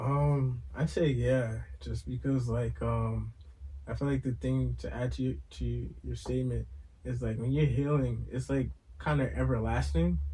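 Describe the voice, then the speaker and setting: This man talks with a New York accent. His pace is fairly slow. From Brooklyn, New York. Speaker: podcast co-host. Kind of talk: casual chat.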